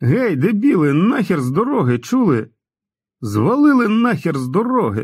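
A man puts on a character voice with big pitch swings, high pitch for a man, a slightly husky edge and a slightly mellow tone. The recording is very clean with a silent background. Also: moderate pace.

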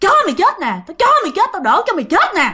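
A woman's put-on character voice, extremely high-pitched, with very wide pitch swings and a very fast pace. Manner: menacing.

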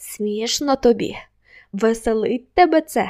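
A woman's put-on character voice, fairly high and hissing, with lively intonation at a fairly slow pace, on a very clean recording with a silent background. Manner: contemptuous, hissing.

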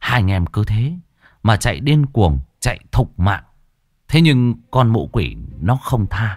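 Read aloud in a natural voice with lively intonation over a quiet background.

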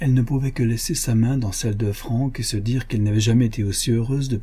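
Simply plain reading aloud.

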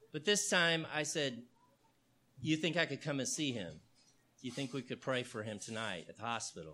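A man talks at a moderate pace with long, frequent pauses and vocal fry. His tone is bright and sharp, and his pitch swings very widely. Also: medium pitch for a man. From Texas, Houston. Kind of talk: talk to an audience.

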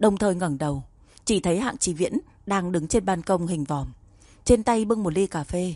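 An unforced reading voice carries the passage.

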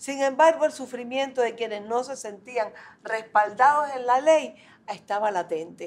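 Speaking at a fairly slow pace, a woman uses lively intonation in a high pitch. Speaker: family law specialist. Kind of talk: meeting speech.

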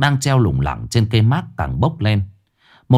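In an unforced reading voice, the words come across a quiet background.

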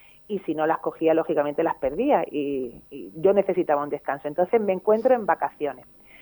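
Woman in an Andalusian accent, slightly mellow tone, fairly quick pace and ordinary pitch variation. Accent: Andalusian Spanish, Málaga.

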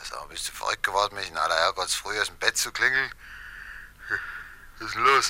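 Putting on a character voice, a man with a fairly low pitch and a bright, sharp tone talks at a fairly quick pace with lively intonation.

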